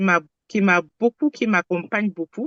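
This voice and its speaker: A woman is speaking here. Her pace is fairly slow, with ordinary pitch variation. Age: 60s. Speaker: testimonial giver, medico-social worker. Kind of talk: testimony. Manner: halting, repetitive.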